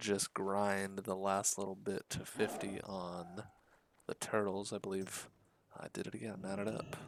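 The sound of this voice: Reading in an unforced reading voice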